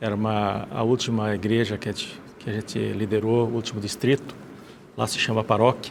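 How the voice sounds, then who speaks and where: A man with a Rio Grande do Sul accent speaks at a fairly low pitch. His pace is fairly quick and his intonation fairly even. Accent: gaúcho. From Rio Grande do Sul, Brazil. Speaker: former pastor. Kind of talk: testimony. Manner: halting.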